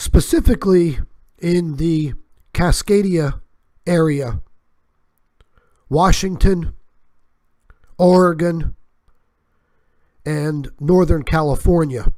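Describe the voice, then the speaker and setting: The pace is very slow. Long pauses come often. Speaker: channel host, doomsday news. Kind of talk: video warning monologue.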